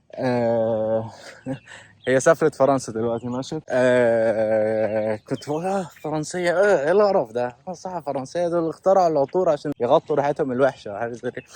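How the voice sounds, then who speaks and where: Dry and close with no echo, this recording has a man speaking at a medium pitch in a dark, mellow tone, at a moderate pace with lively intonation. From Kuwait and Egypt. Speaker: vlogger. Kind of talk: casual vlog storytelling. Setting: outdoors, walking. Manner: animated.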